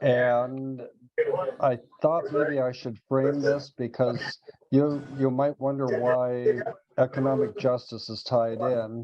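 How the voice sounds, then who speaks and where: This man's intonation stays fairly even as he talks very slowly. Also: medium pitch for a man. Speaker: co-chair of an advocacy group, webinar host. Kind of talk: webinar introduction.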